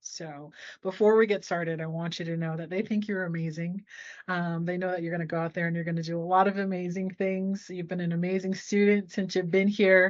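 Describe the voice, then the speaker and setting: At a fairly quick pace, a woman talks in an ordinary speaking voice with a fairly low pitch and fairly even intonation. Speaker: interviewer, podcast host. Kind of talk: interview questions.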